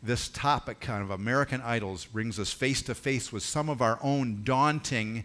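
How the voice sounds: Pitch varies in an ordinary way here. It is a natural reading voice.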